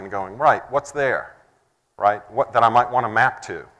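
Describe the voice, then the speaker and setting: In a very clean recording with a silent background, a man speaks with a Texan accent. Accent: Texan American. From Texas, United States. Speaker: software integration presenter. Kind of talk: conference talk.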